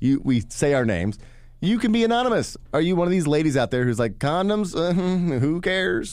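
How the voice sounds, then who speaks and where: A man with a Midwestern American accent talks at a fairly quick pace, his pitch fairly high for a man. His pitch swings very widely while his loudness stays very even. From west-central Indiana, Vigo County. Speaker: podcast co-host. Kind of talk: reading news article aloud; casual comedic chat. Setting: podcast theater studio.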